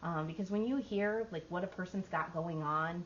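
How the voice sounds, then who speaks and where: A woman's fairly low-pitched voice at a fairly quick pace, with ordinary pitch variation. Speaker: workshop presenter. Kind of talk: workshop talk. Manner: loud.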